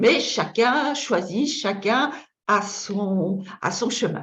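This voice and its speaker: A woman with a Belgian accent talks with ordinary pitch variation, with audible room echo around her. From Belgium. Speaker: feng shui consultant and trainer. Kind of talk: online masterclass lecture. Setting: webinar. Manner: halting, with frequent repetitions and fillers.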